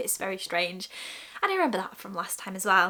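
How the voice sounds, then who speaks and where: A woman with a British accent. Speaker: lifestyle vlogger. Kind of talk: casual vlog talk. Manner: pausing often, interrupted by burps.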